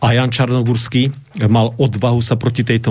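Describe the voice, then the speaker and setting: A somewhat breathy man's voice, medium in pitch, at a moderate pace. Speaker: Lutheran pastor. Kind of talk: radio talk show interview. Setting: radio studio.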